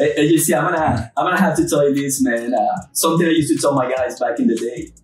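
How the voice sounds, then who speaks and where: Over background music, a man with fairly high pitch talks at a very fast pace. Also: ordinary pitch variation. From Peru. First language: Spanish. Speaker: roofing company co-owner. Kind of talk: casual chat. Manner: animated.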